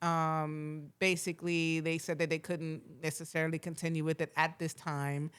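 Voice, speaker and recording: With an American accent, the speaker talks at a moderate pace in a monotone, flat intonation on a very clean recording with a silent background. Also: woman, very deep, low pitch for a woman. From Florida. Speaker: podcast host and TV writer-producer. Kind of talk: casual podcast conversation. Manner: relaxed, many fillers.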